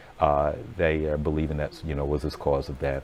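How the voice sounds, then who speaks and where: A man with an American accent talks at a fairly quick pace. His tone is relaxed and his pitch very deep and low. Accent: slight Southern, comes out at times. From Virginia, US South. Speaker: TV news reporter. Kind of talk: casual live-stream chat. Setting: newsroom studio. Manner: relaxed, many fillers.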